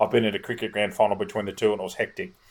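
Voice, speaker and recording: Here a man talks with an Australian accent at a fairly low pitch. The recording is very clean, with a silent background. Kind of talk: sports podcast chat with score readouts.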